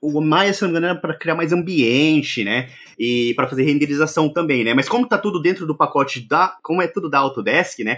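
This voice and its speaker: A man with an ordinary speaking voice talks at a fairly quick pace, with hardly any pauses. His pitch is fairly high, and the recording is very clean with a silent background. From Brazil, interior of Minas Gerais. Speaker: tech YouTuber living in Japan. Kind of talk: casual chat.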